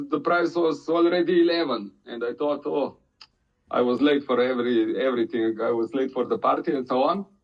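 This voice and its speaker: With a Slovenian accent, a man speaks at a moderate pace. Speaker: crypto community member. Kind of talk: casual community chat. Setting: online audio room. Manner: halting, many hesitations.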